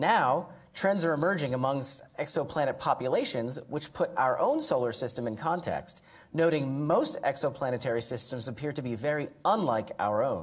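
Somewhat breathy, a man talks at a moderate pace with ordinary pitch variation. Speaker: event host introducing speaker. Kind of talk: formal introduction. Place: hall. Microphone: podium.

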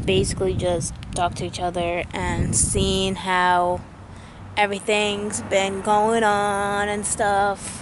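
A woman talks fairly slowly, her intonation fairly even, while noticeable background noise runs underneath. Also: dry sound with no echo. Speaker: vlogger. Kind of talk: casual vlog chat. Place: open country. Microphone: phone near.

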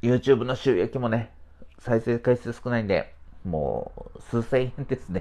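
Showing vocal fry and a dark, mellow tone, a man talks at a medium pitch with fairly even intonation. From Kumamoto, Japan (Hitoyoshi); Kumamoto. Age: 40s. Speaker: supermarket IT manager and livestreamer; livestreamer. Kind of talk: casual livestream chat. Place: home room. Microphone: lapel.

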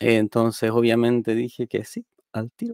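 Against a quiet background, a man talks at a fairly slow pace, the sound dry with no echo. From Chile, Quilpué (Valparaíso region); Valparaíso region, Chile. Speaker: software engineer and programming teacher; programming teacher. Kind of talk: tech conference talk. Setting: streamed talk. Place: home room. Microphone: headset.

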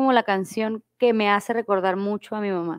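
Speech at a moderate pace over a quiet background. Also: woman. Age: young. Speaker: guest. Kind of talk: casual chat. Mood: reflective, emotional at times. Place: home room. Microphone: lapel.

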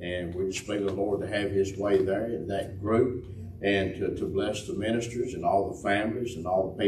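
A man with a fairly low pitch talks in a flat monotone at a moderate pace. Light background noise and audible room echo are present. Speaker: host of a church teaching panel. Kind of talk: church announcements and prayer lead-in. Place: church. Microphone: camera far.

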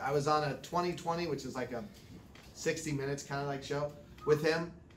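Amid light background noise and audible room echo, a man with an American accent speaks at a moderate pace in an animated tone. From Southern California, San Diego; California. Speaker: animation director; guest. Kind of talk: lecture. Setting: studio. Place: studio. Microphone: handheld.

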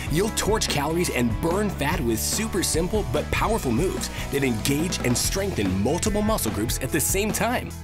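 Music runs in the background as the speech moves at a moderate pace. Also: man. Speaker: infomercial announcer. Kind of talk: TV commercial read.

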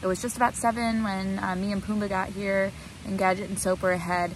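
Noticeable background noise sits under a dry sound with no echo. A woman speaks at a moderate pace with fairly even intonation. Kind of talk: casual vlog chat. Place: tent. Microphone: phone near.

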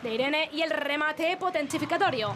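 With noticeable background noise behind her, a woman talks at a fairly quick pace in an extremely high pitch, her pitch varying in an ordinary way. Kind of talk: football commentary. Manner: fast, excitable play-by-play, stretching out goal calls; rapid-fire, breathless delivery naming players and passes.

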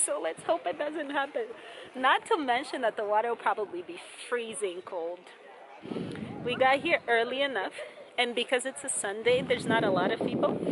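A woman speaks at a high pitch and a moderate pace. Noticeable background noise is present. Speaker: travel vlogger. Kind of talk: casual vlog chat. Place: waterside. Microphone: phone near.

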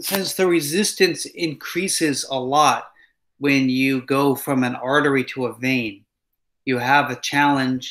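Against a quiet background, a man speaks at a fairly slow pace in a bright, sharp tone. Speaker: instructor. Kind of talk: lecture. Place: home room. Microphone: webcam.

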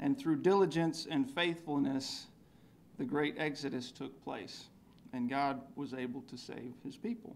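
A man with a normal speaking voice talks at a fairly slow pace and a fairly high pitch, with ordinary pitch variation and big swings in loudness, over light background noise. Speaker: church member giving communion meditation. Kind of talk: devotional talk. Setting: church. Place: church. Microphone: podium.

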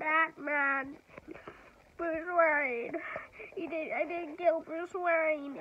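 In a whiny, put-on character voice pitched extremely high, a woman speaks very slowly with long, frequent pauses. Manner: whining.

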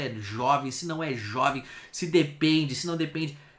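In a Brazilian accent, a man with a fairly high pitch sounds angry, his intonation lively. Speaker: video host reacting to videos. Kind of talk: angry rant, ranting at the state. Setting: reaction stream, watching a video. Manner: angry, vehement, heated, cursing; loud, emphatic, exasperated. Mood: indignant, exasperated. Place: home room.

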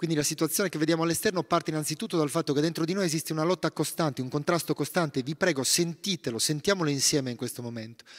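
This man speaks at a very fast pace with a fairly high pitch and ordinary pitch variation. The background is quiet. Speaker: meditation teacher and author; guest. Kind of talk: talk on forgiveness at a retreat. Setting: monastery gathering with audience. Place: church. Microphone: initially too quiet; handheld.

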